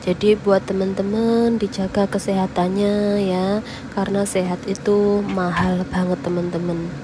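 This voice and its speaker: A woman at a medium pitch speaks fairly slowly with hardly any pauses and monotone, flat intonation over noticeable background noise. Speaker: cooking vlogger, migrant domestic worker. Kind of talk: cooking tutorial. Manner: casual, chatty.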